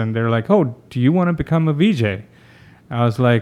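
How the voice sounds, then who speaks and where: A man speaks in a normal speaking voice at medium pitch. His pace is fairly quick, with ordinary pitch variation. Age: 40s. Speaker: TV producer and music video director. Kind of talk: interview. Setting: studio.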